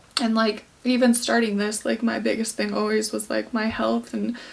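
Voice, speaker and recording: Through noticeable background noise, a woman speaks at a moderate pace. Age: 20s. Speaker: fitness vlogger, bikini competitor. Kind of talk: vlog. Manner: halting.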